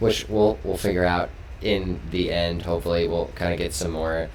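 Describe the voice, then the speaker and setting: Amid noticeable background noise and audible room echo, a man with a very deep, low pitch speaks at a moderate pace. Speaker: esports stream host. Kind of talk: post-match interview. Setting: live stream. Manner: loud. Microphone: echo on the stream audio.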